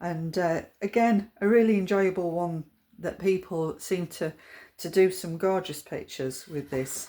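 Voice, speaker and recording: At a fairly slow pace, a woman speaks at medium pitch with a dark, mellow tone and ordinary pitch variation on a very clean recording with a silent background. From Yorkshire, England. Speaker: watercolour art teacher. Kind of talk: tutorial. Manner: hesitant, many fillers.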